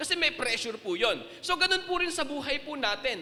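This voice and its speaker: A man speaks in a raised, projected voice. Noticeable background noise is present. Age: young. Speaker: pastor. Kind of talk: sermon. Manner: serious, emphatic.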